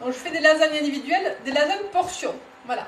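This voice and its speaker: A woman speaks with ordinary pitch variation. Noticeable background noise and audible room echo fill the recording. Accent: Toulouse. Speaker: cookware sales consultant. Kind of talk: live cooking demonstration. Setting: home kitchen, live stream. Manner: casual, hesitant with fillers.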